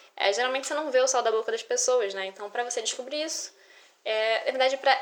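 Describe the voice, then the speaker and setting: Background noise is noticeable throughout. The voice belongs to a woman. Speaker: podcaster. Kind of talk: casual monologue. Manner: animated.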